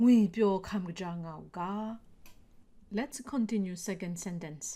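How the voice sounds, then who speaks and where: A woman speaks very slowly at a medium pitch, her tone dark and mellow. Her pitch rises and falls in an ordinary way. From Myanmar (Kachin State). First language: Kachin (Jinghpaw). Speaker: language teacher. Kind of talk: tutorial. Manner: slow, deliberate.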